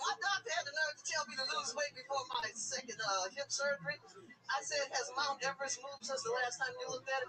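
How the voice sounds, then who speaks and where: A woman speaks very fast in a high pitch. Her voice is raised and projected. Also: ordinary pitch variation. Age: 60s. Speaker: singer, comedy show guest. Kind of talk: casual chat.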